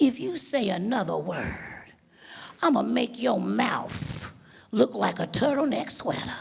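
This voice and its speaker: A woman's put-on character voice at a medium pitch. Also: fairly slow pace. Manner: threatening, intimidating.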